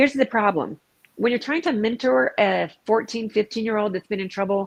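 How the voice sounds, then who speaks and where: Her intonation is lively and her pitch fairly high for a woman. She talks at a fairly quick pace, and the sound is dry and close with no echo. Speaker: peer recovery advocate and former inmate. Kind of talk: casual interview chat. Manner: fast.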